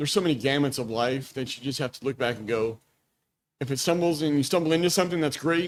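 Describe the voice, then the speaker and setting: Speaking in an ordinary speaking voice with an American accent, a man talks at a fairly quick pace, his pitch fairly high with ordinary pitch variation. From Texas, Dallas area. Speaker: business founder. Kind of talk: casual chat.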